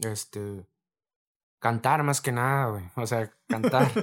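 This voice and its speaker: A man with a medium pitch and fairly even intonation talks on a very clean recording with a silent background. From Mexico, Reynosa, Tamaulipas. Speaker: rapper. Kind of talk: casual chat.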